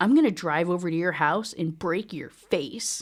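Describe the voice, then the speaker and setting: In a very clean recording with a silent background, a female-sounding voice growls through a put-on character voice at a fairly low pitch and a moderate pace. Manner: menacing, threatening.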